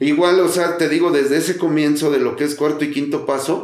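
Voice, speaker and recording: Room echo is audible around this man. His voice sits fairly high in pitch. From Mexico City, Tepito. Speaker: recovering alcoholic. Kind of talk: testimony. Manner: halting.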